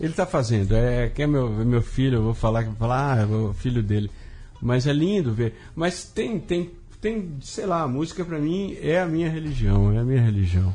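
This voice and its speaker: Music plays behind a man speaking at a moderate pace in a medium pitch. His pitch swings very widely. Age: 50s. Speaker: writer and comics artist. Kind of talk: casual interview chat.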